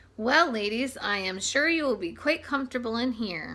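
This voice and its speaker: A woman's put-on character voice, fairly high in pitch, with lively intonation at a moderate pace. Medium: read story. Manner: bowing and scraping, oily.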